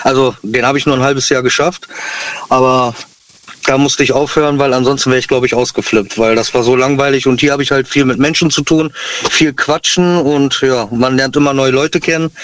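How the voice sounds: A man's medium-pitched, fairly bright voice at a fairly quick pace with fairly even intonation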